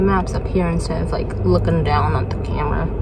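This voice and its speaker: The sound is dry, with no echo. A woman talks through loud background noise. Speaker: vlogger. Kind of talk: casual vlog chat. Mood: relaxed, chatty. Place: car. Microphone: phone near.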